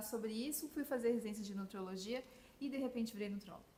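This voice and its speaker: Over noticeable background noise, a woman with a Florianópolis accent speaks at a fairly high pitch with fairly even intonation. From southern Brazil, Florianópolis. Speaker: physician, nutrition specialist. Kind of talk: podcast interview.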